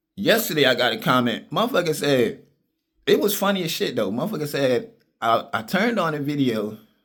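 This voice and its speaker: Animated in tone, a man talks fairly quickly in a fairly high voice with very wide pitch swings. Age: 50s. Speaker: vlogger. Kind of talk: casual monologue.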